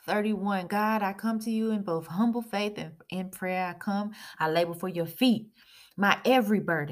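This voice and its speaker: A woman speaks in an ordinary speaking voice at a medium pitch, with ordinary pitch variation, on a very clean recording with a silent background. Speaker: prayer leader. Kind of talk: fervent prayer. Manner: earnest, pleading; devout, rhythmic.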